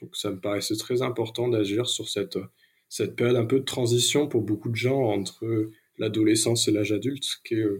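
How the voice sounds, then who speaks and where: A man talks at a fairly quick pace in a medium pitch, his voice somewhat breathy and his intonation fairly even. The recording is very clean, with a silent background. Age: 30s. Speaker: ecological transition consultant and rail cooperative board member. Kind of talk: interview. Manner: hesitant, many fillers.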